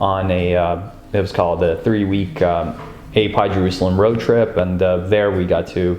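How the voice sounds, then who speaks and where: A man's very deep, low voice at a fairly quick pace, fairly even in intonation, with audible room echo and music in the background. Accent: American. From US, immigrant from Ukraine as a child. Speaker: interviewee in documentary. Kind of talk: interview. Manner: hesitant, many fillers.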